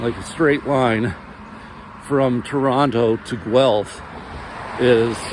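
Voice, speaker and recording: Very slow speech from a man over noticeable background noise. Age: 50s. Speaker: vlogger. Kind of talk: personal monologue. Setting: outdoors. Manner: halting.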